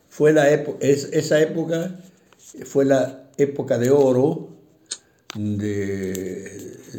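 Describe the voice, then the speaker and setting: With audible room echo, a man speaks using lively intonation. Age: 80s+. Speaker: retired bank employee, interviewee. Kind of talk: interview. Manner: halting, many fillers.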